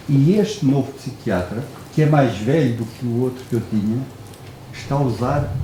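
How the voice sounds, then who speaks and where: Noticeable background noise and audible room echo around a man talking at a moderate speed. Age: 60s. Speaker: audience member. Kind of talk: audience question. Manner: halting.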